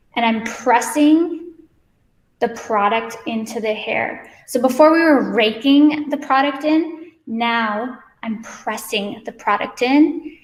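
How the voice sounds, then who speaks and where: Ordinary pitch variation comes at a very slow pace, with audible room echo. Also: woman, high pitch for a woman. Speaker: hair stylist educator. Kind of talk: live hair tutorial.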